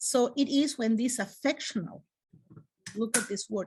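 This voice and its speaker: With a Spanish accent, a woman speaks in a somewhat breathy voice with ordinary pitch variation over a quiet background. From Spain. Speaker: clinical psychology professor. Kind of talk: lecture. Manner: halting, many fillers.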